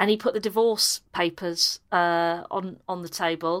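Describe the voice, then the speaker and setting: A woman talks at a very slow pace. She has a Yorkshire accent. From Yorkshire, Harrogate area. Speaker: comedian. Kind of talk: casual chat, comic interview.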